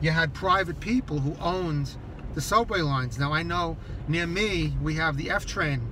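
Noticeable background noise behind a man's dry, echo-free voice. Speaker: local history vlogger. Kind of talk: casual vlog chat. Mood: relaxed, storytelling. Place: car. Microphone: phone near.

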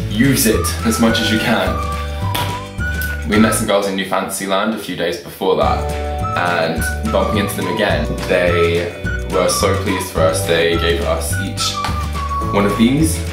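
A man at a moderate pace with long, frequent pauses, clear music in the background and audible room echo. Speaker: vlogger. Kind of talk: casual talk to camera. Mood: grateful, happy. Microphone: webcam.

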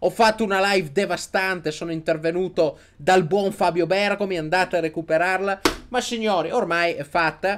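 Loud and animated, a man talks at a moderate pace with a high pitch. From Italy. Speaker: sports YouTuber, Inter fan commentator. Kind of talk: angry rant. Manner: loud, sarcastic, ranting. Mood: mocking, excited ranting. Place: home room. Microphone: studio mic.

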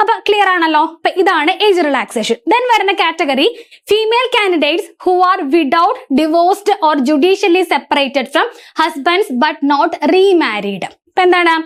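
A woman at an extremely high pitch, lively in intonation and very even in loudness. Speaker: exam coaching instructor. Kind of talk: tutorial.

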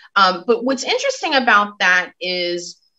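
A woman's raised, projected voice with a bright, sharp tone, lively intonation and moderate pace. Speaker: cannabis advocacy organization president. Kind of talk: interview.

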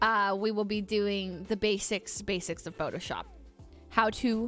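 A woman speaks at a fairly slow pace, with faint music in the background. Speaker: livestreamer. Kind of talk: casual stream chat with viewers. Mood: playful, laughing. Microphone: studio mic.

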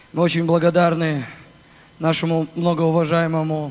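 This man's voice sits at a fairly high pitch. He keeps a moderate pace. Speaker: conference host preacher. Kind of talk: sermon. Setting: stage with audience. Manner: forceful.

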